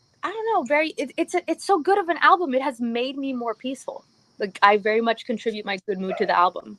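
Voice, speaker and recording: A woman's high-pitched voice at a very fast pace, with very wide pitch swings, a slight Cuban accent and a dry, close sound with no echo. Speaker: music commentator. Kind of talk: casual chat.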